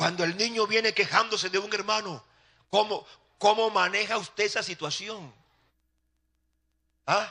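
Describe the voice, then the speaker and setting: Projecting a raised voice with a bright, sharp tone, a high-pitched man speaks at a moderate pace with fairly even intonation and long, frequent pauses. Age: 60s. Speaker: pastor. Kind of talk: sermon.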